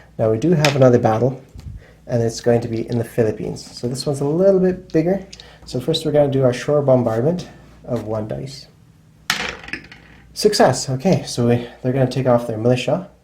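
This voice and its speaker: The speech moves at a fairly quick pace but breaks into long, frequent pauses, with noticeable background noise throughout. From Czech Republic. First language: Czech. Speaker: board game channel host. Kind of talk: tutorial. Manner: casual, conversational.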